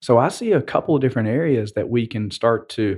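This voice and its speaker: A man with a Southern US accent against a quiet background. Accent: Southern US, slow drawl. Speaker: podcast co-host.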